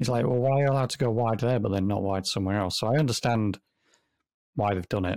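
With an English accent, a man talks at a very fast pace and medium pitch, his loudness very even and his pitch variation ordinary, in a dry, close sound with no echo. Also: very clean recording, silent background. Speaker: podcast co-host.

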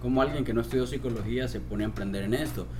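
A man is heard with audible room echo. Noticeable background noise runs underneath. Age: 20s. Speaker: suicide prevention organization founder, poet. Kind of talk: interview conversation.

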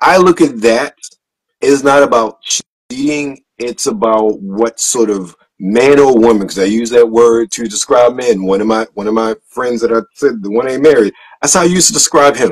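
A man speaks in a normal speaking voice with ordinary pitch variation. The sound is dry and close, with no echo. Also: medium pitch for a man, moderate pace. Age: 40s. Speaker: podcast host. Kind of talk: casual chat.

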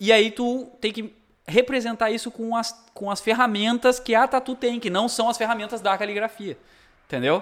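A man speaks at an extremely high pitch. His pace is moderate and his intonation fairly even. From Rio Grande do Sul, Brazil (Cachoeira do Sul). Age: 30s. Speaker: tattoo artist. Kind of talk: casual chat.

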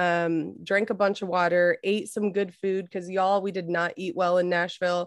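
Talking at a moderate pace with hardly any pauses, a woman with an American accent uses a medium pitch. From California. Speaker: podcast co-host. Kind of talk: casual chat. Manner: animated.

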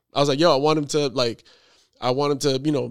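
A man with an American accent, fairly high-pitched, talking at a very fast pace with fairly even intonation over a very clean recording and silent background. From New York. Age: 30s. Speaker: photographer. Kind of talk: casual chat.

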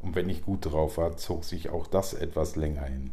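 Vocal fry runs through a man's dark, mellow voice at a moderate pace. His intonation is fairly even, and audible room echo fills the space. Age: 40s. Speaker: podcast host. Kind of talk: monologue.

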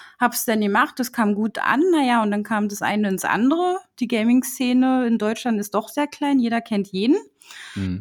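An unremarkable speaking voice moves at a moderate pace with lively intonation. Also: woman. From Berlin, Germany. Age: 20s. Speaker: designer and agency owner. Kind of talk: casual interview.

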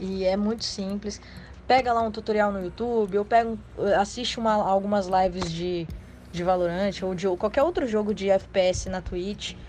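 Her pitch medium, a woman talks with fairly even intonation. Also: fairly slow pace. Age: 20s. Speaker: casual gamer. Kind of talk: casual chat. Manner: halting.

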